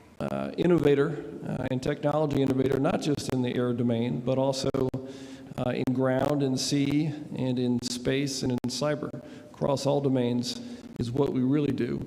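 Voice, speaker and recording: A man with an American accent speaks at a moderate pace in a flat monotone. Audible room echo and noticeable background noise fill the recording. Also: medium pitch for a man. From United States. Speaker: defense industry representative. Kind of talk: award ceremony speech. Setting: stage at gala with audience.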